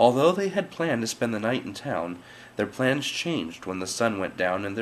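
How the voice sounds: Simply a natural reading voice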